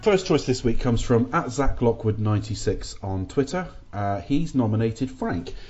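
A man with a British accent talks at a moderate pace in a somewhat breathy voice. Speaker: podcast host. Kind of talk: casual chat.

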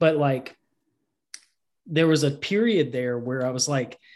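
Against a quiet background, a man with a Southern US accent talks with ordinary pitch variation. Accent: Southern US (Georgia). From US South, Georgia. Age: 40s. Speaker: comic artist, abuse survivor. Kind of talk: interview.

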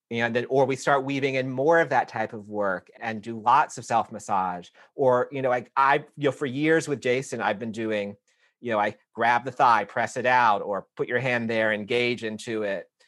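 Speaking at a moderate pace, a man with an unremarkable speaking voice keeps his medium pitch at fairly even intonation. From US South. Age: 40s. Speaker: yoga teacher. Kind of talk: interview.

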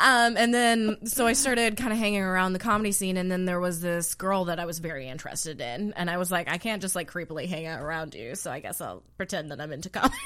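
A woman talks at a very fast pace with lively intonation and a medium pitch. Her tone is bright and sharp, in a very clean recording with a silent background. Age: 30s. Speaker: stand-up comedian. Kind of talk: casual chat.

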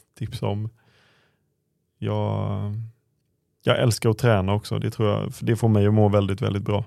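A man speaks at a moderate pace. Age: 30s. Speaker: former footballer, podcast co-host. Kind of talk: casual chat.

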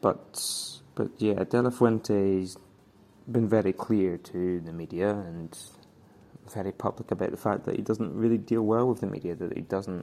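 In a Scottish accent, a man speaks at a moderate pace with a fairly low pitch, fairly even intonation, and a dark, mellow tone. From Scotland. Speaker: football journalist. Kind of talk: recorded voice note commentary. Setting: voice note recording.

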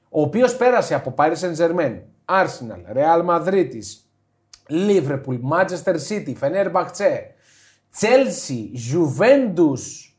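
A man with a high pitch speaks at a very slow pace, his pitch swinging very widely. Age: 30s. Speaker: football podcast co-host. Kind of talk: casual chat.

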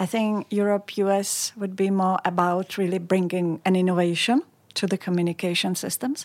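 Her pitch is medium and her pace moderate. The woman's intonation stays fairly even. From Czech Republic, Pilsen. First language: Czech. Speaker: communications executive. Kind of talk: interview. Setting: studio.

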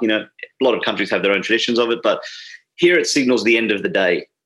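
A man with an Australian accent talks at a very fast pace in a bright, sharp tone. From Sydney, Australia. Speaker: bartender and drinks writer.

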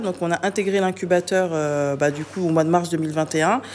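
A woman talks at a moderate pace with a fairly low pitch. Noticeable background noise is audible. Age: 30s. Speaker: web developer and entrepreneur. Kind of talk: interview. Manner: hesitant, many fillers.

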